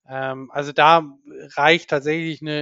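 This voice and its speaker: At a moderate pace, a man talks in a flat monotone. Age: 40s. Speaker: diving instructor and marine conservation campaigner. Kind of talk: interview. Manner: halting, many fillers and repetitions.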